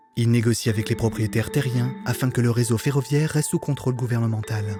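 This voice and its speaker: With music in the background, a man talks at a very fast pace and medium pitch, with fairly even intonation and very even loudness. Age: 20s. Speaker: voice actor. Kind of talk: documentary narration.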